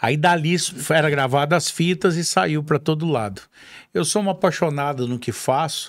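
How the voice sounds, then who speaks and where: In a dry sound with no echo and a quiet background, a man with a fairly high voice speaks at a moderate pace with ordinary pitch variation. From Minas Gerais, Brazil (south Minas). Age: 50s. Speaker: rodeo announcer. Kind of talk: casual chat. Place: studio. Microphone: studio mic.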